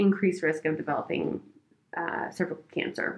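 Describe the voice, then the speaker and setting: This is a woman with an ordinary speaking voice. Her pitch is fairly low, with ordinary variation. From Oregon, US Pacific Northwest. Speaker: gynecologic oncologist. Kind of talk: casual chat with medical explanation.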